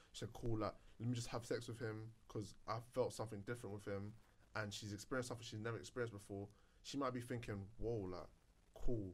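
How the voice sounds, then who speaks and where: A man's somewhat breathy voice at a very fast pace, with fairly even intonation. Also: medium pitch for a man. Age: 20s. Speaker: podcast host. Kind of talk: casual chat.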